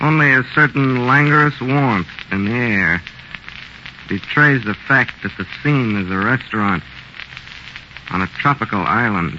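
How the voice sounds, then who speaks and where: Through noticeable background noise, a man with a medium-pitched voice and lively intonation speaks at a fairly slow pace with long, frequent pauses. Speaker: radio host. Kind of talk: old-time radio horror host intro, scripted. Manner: macabre, theatrical, dramatic, ominous.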